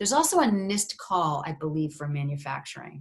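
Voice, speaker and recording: At a moderate pace, the speech has a somewhat breathy sound. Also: woman. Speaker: university research funding advisor. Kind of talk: webinar presentation. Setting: video conference.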